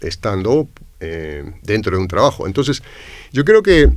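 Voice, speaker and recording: A man speaks at a moderate pace with a Peruvian accent, his pitch swinging very widely. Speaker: university lecturer and entrepreneur. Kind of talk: podcast interview. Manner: hesitant, many fillers.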